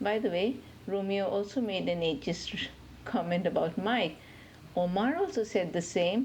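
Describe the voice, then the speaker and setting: A somewhat breathy woman's voice at a very even loudness, with ordinary pitch variation. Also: medium pitch for a woman, moderate pace. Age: 60s. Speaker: podcast listener. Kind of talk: recorded listener comment.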